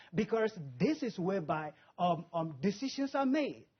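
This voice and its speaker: Enthusiastic in tone, a man's voice swings very widely in pitch. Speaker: author. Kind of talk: TV interview answer. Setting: studio. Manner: enthusiastic, full of conviction.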